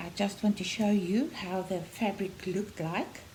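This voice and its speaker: A woman speaks with a South African accent at a medium pitch. She goes at a fairly slow pace. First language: Afrikaans. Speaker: knitting podcaster and yarn seller. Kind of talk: casual tutorial podcast. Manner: halting, many fillers and repeats.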